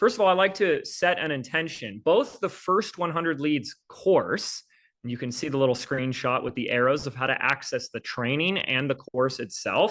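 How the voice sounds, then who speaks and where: In an ordinary speaking voice, a man with a fairly high pitch talks at a moderate pace with lively intonation and hardly any pauses over a quiet background. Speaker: business coach. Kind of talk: live online training. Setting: livestream video call.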